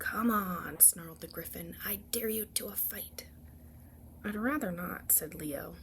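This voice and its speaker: A soft-spoken woman talks fairly slowly. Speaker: ASMR storyteller. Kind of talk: bedtime story read-aloud.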